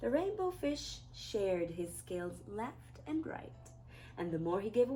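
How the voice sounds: Here, text is read in a voice that sounds natural.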